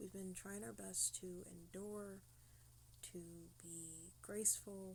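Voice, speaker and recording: The speaker is a woman in a whisper. Her pace is very slow. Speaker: vlogger asking for help. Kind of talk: personal testimony vlog. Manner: whispering; halting. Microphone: low quality, quiet audio.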